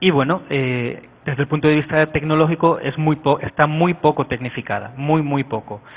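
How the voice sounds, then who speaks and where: Hardly any pauses break up this man's speech at a moderate pace. His pitch is fairly high, with fairly even intonation. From Spain. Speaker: IT manager at a health ministry, conference speaker. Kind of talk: conference talk.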